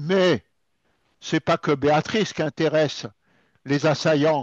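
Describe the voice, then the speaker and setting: Against a quiet background, a man with a fairly high pitch and fairly even intonation speaks at a very slow pace, the sound dry and close with no echo. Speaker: cybersecurity speaker. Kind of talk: presentation.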